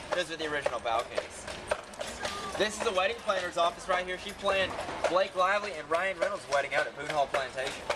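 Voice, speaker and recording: Over noticeable background noise, a man with an American accent talks at a very fast pace, his pitch high with ordinary variation. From South Carolina, Heath Springs. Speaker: carriage tour guide. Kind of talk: guided tour commentary. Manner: animated.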